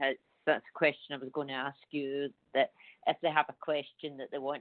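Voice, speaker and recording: The speaker has a Scottish accent and a fairly quick pace. The intonation is monotone and flat. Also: woman. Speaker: psychic medium. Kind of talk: radio interview.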